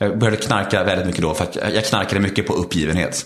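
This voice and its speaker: A man's fairly low voice at a very fast pace. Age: 30s. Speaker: former reality TV participant, speaker and podcaster. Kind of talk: interview about personal recovery story. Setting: at home in his kitchen.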